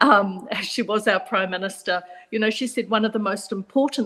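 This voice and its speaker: Her medium pitch showing ordinary pitch variation, a woman speaks with a New Zealand accent. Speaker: psychologist. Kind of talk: panel discussion.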